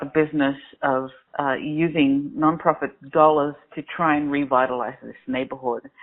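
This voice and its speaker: A woman with an Australian accent speaks at a moderate pace with very deep, low pitch and ordinary pitch variation. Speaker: crowdfunding platform founder. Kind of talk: interview. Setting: phone call.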